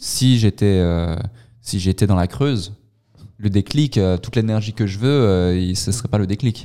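Speaking fairly slowly, a man with a fairly low pitch and a dark, mellow tone leaves long, frequent pauses. His pitch varies in an ordinary way. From Switzerland, canton of Vaud. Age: 20s. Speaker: entrepreneur. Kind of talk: interview.

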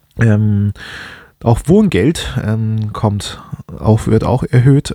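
The sound is dry and close, with no echo. A man speaks at a fairly low pitch in a dark, mellow tone. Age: 20s. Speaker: finance podcaster. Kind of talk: solo podcast monologue. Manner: hesitant, many filler sounds.

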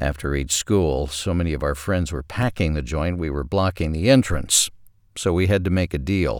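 A man speaks with an American accent at a moderate pace. His voice has vocal fry. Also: very clean recording, silent background. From US South, southwest Arkansas. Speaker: podcast host, writer. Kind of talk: scripted narration.

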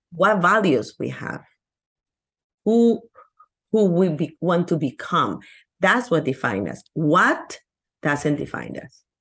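Over a quiet background, this voice moves at a very slow pace in a Peruvian accent, with very wide pitch swings, vocal fry and long, frequent pauses. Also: woman, fairly low pitch for a woman. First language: Spanish. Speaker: abundance coach. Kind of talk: casual interview chat.

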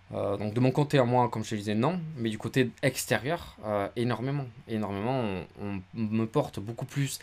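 This man has a normal speaking voice at a medium pitch, with ordinary pitch variation, a moderate pace and hardly any pauses. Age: 20s. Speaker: photographer and video content creator. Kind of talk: casual interview chat.

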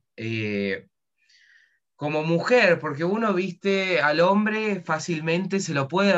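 With an Argentine accent, a man talks at a fairly slow pace in a bright, sharp tone with lively intonation. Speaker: podcast host. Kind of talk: casual interview.

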